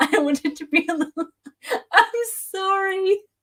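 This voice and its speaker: A woman is speaking. She has an English accent. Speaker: author and YouTuber. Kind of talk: livestream chat. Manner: flustered, halting.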